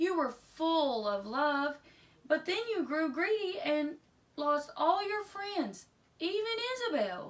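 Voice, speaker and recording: A put-on character voice from a woman, pitched extremely high. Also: fairly slow pace. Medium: read story.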